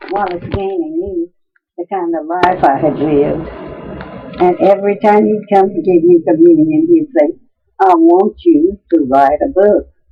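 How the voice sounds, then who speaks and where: Music plays in the background as the speaker goes at a fairly slow pace, with lively intonation and long, frequent pauses. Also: woman. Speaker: grandmother being interviewed about her life. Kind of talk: interview answer, reminiscing about her life. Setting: home recording, informal 1970-era interview.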